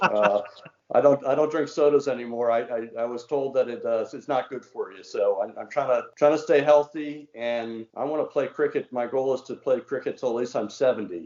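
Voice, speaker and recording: The pace of this man's speech is fairly quick. His volume rises and falls sharply. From Washington DC, US. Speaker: former mayor. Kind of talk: casual interview.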